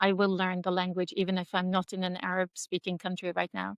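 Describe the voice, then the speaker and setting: Someone with a Norwegian accent speaks in a dry, close recording with no echo. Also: woman, quiet background. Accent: Norwegian, non-native English. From Norway. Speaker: head of school. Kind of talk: interview.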